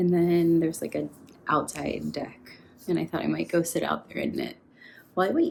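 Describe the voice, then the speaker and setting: A woman talks at a moderate pace. Her speech has long, frequent pauses. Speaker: knitting podcaster. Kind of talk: casual vlog to camera; vlog narration. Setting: Airbnb apartment. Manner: quiet.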